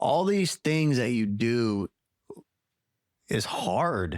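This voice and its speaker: Speaking with very wide swings in pitch, a man delivers his lines. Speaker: recovery guest. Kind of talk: interview. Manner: animated.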